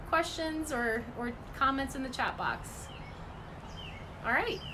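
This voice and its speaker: Raising and projecting her high voice with ordinary pitch variation, a woman is heard with audible room echo and noticeable background noise. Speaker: environmental advocacy group director. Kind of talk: livestream update and appeal. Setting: live video stream from home. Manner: fast.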